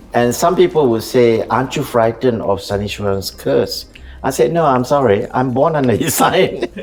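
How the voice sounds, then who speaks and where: Here a man speaks at a medium pitch. Noticeable background noise can be heard. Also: ordinary pitch variation, moderate pace. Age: 70s. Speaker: veteran dancer and choreographer. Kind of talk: interview conversation.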